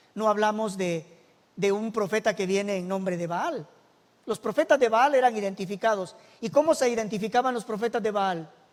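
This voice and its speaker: A man speaks in a high pitch at a moderate pace. His pitch varies in an ordinary way. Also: very clean recording, silent background. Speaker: church minister. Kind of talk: bible study lesson.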